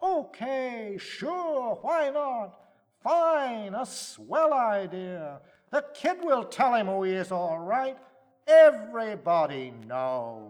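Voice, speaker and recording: Using a put-on character voice, a man speaks at an extremely high pitch and a very slow pace with very wide pitch swings. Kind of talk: poetic verse drama reading. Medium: solo performance. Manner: mocking, hostile.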